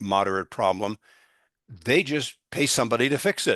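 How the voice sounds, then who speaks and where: A man with a fairly low pitch and a plain, everyday voice speaks at a moderate pace against a quiet background, in a dry, close sound with no echo. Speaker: litigation consultant giving real estate training. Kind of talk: training seminar.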